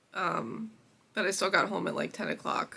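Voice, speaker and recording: A woman's bright, sharp tone with vocal fry, at a fairly slow pace. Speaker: crochet small business owner vlogger. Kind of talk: casual vlog talk.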